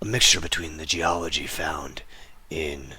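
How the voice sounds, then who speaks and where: In a raspy, put-on character voice, a man speaks at a moderate pace with a very deep, low pitch. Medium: actual play.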